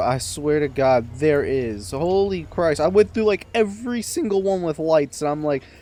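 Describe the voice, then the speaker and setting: A man talks with lively intonation at a moderate pace while music plays in the background. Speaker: gaming YouTuber. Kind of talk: gameplay commentary. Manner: softer than usual; halting, stumbling over words.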